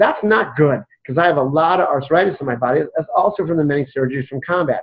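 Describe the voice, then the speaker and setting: A man with an ordinary speaking voice talks at a fairly quick pace, with a fairly high pitch and ordinary pitch variation. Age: 60s. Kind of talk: interview.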